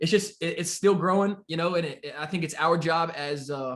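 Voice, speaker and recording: In an American accent, a man with a fairly high pitch speaks over a quiet background. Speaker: forex trading mentor. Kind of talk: podcast interview. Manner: fast.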